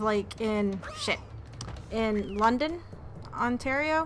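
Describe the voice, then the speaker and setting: In a room with audible echo, a woman talks very slowly at a fairly high pitch. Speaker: gaming streamer. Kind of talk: casual chat while livestreaming a game. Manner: halting, many restarts and fillers.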